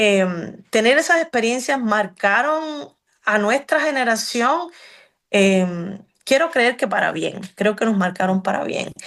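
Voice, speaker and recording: At a very slow pace, a woman with a Cuban accent speaks with very wide pitch swings. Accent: Cuban accent, unchanged. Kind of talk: interview conversation. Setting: radio program. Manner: hesitant with many fillers.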